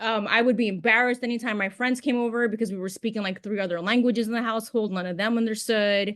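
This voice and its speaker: A woman with a New York accent speaks at a very fast pace. Her pitch sits fairly high. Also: fairly even intonation, hardly any pauses. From New York City. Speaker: podcast guest. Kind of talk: casual chat.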